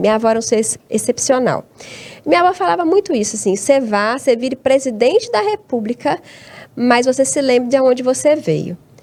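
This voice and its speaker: Noticeable background noise accompanies a woman whose fairly high voice has lively intonation. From Brazil, Tocantins (born in Abaeté, Minas Gerais). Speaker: academic researcher and teacher. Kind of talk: interview conversation. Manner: hesitant, with many repeated words.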